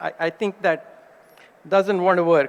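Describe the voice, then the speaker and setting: A man talks at a moderate pace. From India. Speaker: cardiologist. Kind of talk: conference lecture. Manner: animated.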